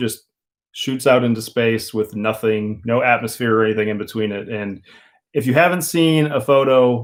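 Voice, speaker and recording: With an American accent, a man speaks at a moderate pace in a medium pitch with ordinary pitch variation. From Minnesota. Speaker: van life YouTuber. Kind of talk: casual live stream chat and Q&A. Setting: live stream. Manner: mumbling at times.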